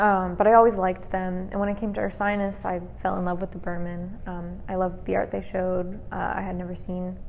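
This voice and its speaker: A woman with an American accent at a fairly quick pace, hardly any pauses, and audible room echo. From US Southwest (Flagstaff, Arizona). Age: 20s. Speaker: museum curator. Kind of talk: interview monologue. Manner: hesitant with fillers.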